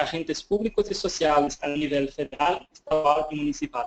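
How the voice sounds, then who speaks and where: Here a man speaks with a Portuguese accent. His pace is moderate and his pitch variation ordinary. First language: Portuguese (speaking Spanish). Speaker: government evaluation official. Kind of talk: webinar presentation. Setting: online webinar. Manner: halting.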